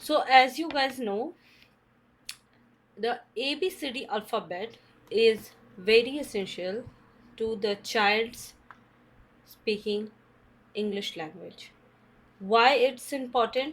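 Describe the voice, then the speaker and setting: Speaking at a very slow pace with long, frequent pauses, a woman with an Indian accent uses a fairly high pitch, ordinary pitch variation and big swings in loudness. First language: Hindi. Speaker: English teacher / channel host. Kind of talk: tutorial. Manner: halting.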